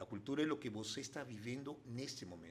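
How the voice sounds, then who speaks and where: Speaking with a Spanish accent, a man keeps to a moderate pace. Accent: Spanish-speaker accent in Portuguese. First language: Spanish (speaking Portuguese). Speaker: international development consultant. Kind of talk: interview conversation. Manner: halting.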